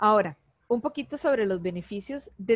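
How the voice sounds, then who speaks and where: A woman talks in a Costa Rican accent with lively intonation. The sound is dry and close, with no echo. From Costa Rica, Heredia. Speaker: animal communicator. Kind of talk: interview.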